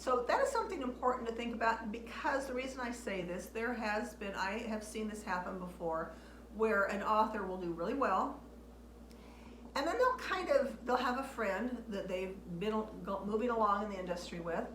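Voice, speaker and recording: In a room with audible echo and noticeable background noise, a woman with a fairly high voice speaks at a moderate pace with ordinary pitch variation. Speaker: author and video blogger. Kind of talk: casual talk to camera. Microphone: waiting for new microphone, poor audio quality.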